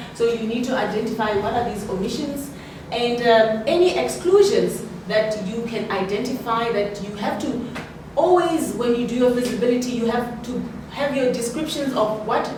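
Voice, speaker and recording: With audible room echo and noticeable background noise, a woman speaks at a moderate pace and fairly high pitch, using ordinary pitch variation. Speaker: property development consultant, guest lecturer. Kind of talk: lecture. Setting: university lecture room.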